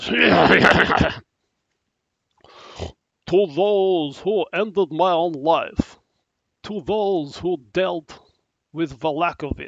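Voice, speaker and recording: Using a put-on character voice at a middle pitch, the speaker goes very slowly with long, frequent pauses. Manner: solemn, eerie.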